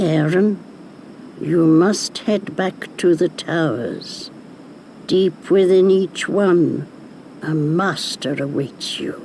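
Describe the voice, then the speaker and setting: In a cartoonish character voice at middle pitch, the speaker goes at a very slow pace with long, frequent pauses, over clear background noise. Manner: cackling, knowing.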